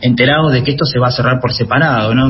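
Over noticeable background noise, a man talks at a very fast pace in a medium pitch. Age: 40s. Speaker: author and environmental journalist. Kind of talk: interview.

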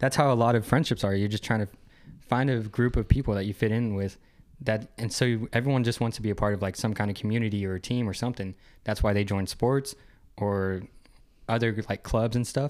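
In a very clean recording with a silent background, a man with a normal speaking voice talks at a fairly quick pace, his fairly low pitch following a fairly even intonation. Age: 20s. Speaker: podcast co-host. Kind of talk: casual chat.

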